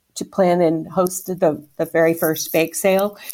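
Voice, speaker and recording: A woman speaks in an ordinary speaking voice. Her pitch is medium and her pace fairly slow. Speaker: volunteer fundraiser and home baker. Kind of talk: casual interview conversation.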